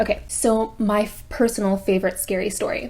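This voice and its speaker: A woman with vocal fry speaks at a moderate pace. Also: very clean recording, silent background. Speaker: YouTuber. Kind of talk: casual vlog chat before reading stories. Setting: indoors at home, window and blinds closed. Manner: casual, filler-heavy.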